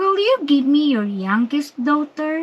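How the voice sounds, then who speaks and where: In a put-on character voice, a woman talks high and at a fairly slow pace. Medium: read story.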